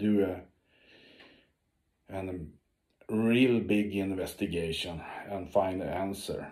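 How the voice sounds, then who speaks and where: A man at a very slow pace, fairly low in pitch, with a dark, mellow tone and audible room echo. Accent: Swedish. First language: Swedish. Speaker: ocean explorer and diver. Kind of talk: video update to followers. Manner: halting, many fillers.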